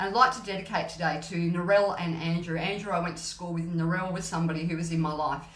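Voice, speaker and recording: A woman talks at a fairly quick pace and fairly low pitch. Her voice echoes audibly in the room over noticeable background noise. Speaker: gut health mentor and live streamer. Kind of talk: motivational live stream. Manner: animated.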